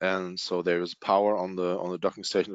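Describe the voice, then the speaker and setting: At a moderate pace, a man with a non-native accent speaks in a very deep, low pitch. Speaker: dental product application specialist. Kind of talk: webinar product presentation. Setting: online webinar. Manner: hesitant, many fillers.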